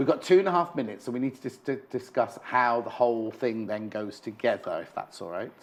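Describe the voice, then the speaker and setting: In a British accent, the speaker moves at a fairly quick pace with big swings in loudness. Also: man, medium pitch for a man, lively intonation, hardly any pauses. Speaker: shopping channel presenter. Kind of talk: live TV craft demonstration. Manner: fast; animated.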